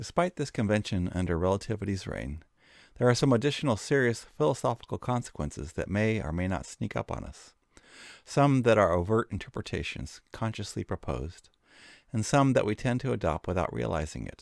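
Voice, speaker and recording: On a very clean recording with a silent background, a man speaks fairly quickly with vocal fry. His fairly low voice makes very wide pitch swings. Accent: American. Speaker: educational video narrator. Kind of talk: scripted narration. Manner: formal.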